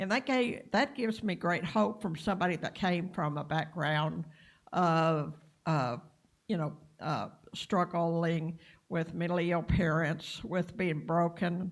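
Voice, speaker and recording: Speaking fairly slowly in a Texas accent, a woman has a fairly low pitch with ordinary pitch variation. The recording is very clean, with a silent background. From Texas, Clarendon. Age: 60s. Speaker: workshop participant. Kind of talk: personal testimony. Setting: live-streamed training session. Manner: halting.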